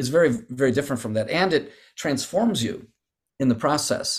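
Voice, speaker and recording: Here a man speaks at medium pitch with ordinary pitch variation, in an unremarkable speaking voice. The recording is very clean, with a silent background. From United States. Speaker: calligrapher and martial arts teacher. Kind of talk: interview.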